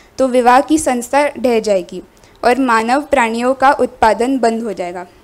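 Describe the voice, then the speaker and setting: With a non-native accent, a woman speaks at a high pitch using fairly even intonation. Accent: non-native Hindi pronunciation. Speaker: queer activist panel speaker. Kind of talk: reading a prepared speech. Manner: halting, with fillers.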